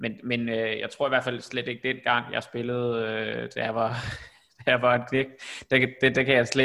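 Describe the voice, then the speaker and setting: The tone is bright and sharp, delivered at a moderate pace. Intonation stays flat and monotone throughout. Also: man. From Denmark, Copenhagen. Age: 30s. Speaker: podcast host. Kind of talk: casual chat. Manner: halting, many fillers.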